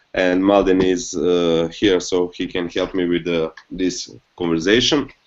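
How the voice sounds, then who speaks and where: Speaking with a non-native accent, a man talks at a fairly slow pace. His pitch is very deep and low, with fairly even intonation. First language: not English. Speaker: company co-founder. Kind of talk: live video hangout interview. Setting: video call. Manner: halting, repeats words.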